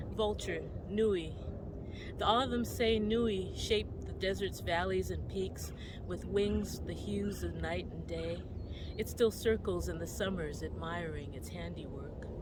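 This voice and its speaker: A woman talks at a fairly slow pace with audible room echo and noticeable background noise. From Hawaii, Kaneohe. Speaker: poet. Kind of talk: poetry reading.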